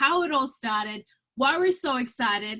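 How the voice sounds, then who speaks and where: A woman speaks at a moderate pace in a raised, projected voice. Her tone is bright and sharp, and her pitch is high. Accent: Romanian. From Romania. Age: 30s. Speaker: network marketing entrepreneur. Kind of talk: webinar presentation. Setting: video call. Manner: enthusiastic.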